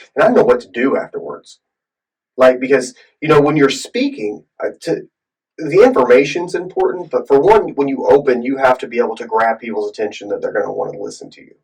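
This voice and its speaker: This man talks at a fairly quick pace, his loudness swinging widely. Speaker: podcast co-host and preacher. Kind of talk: casual chat.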